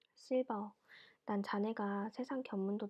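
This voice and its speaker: In a medium pitch, a woman speaks with a soothing tone and fairly even intonation. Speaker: ASMR storyteller reading books aloud. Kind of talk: audiobook-style reading of a classic novel, ASMR. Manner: soothing, sleep-inducing.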